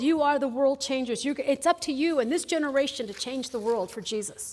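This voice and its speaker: A woman speaks at a fairly quick pace, her high voice moving with ordinary pitch variation. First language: Spanish. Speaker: chapel speaker, nonprofit director. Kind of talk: chapel talk. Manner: conversational.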